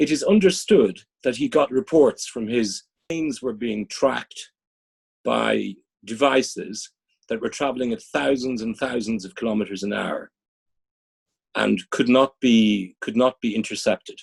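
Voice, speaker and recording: A man speaks with an Irish accent. The sound is dry and close with no echo, and his pauses are long and frequent. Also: moderate pace. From Dublin, Ireland. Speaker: business executive and strategy consultant. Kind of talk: interview answer.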